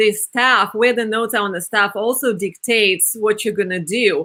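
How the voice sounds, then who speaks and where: A woman's medium-pitched voice with a Russian accent, bright and sharp in tone, with ordinary pitch variation. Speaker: opera singer and podcast host. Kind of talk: interview.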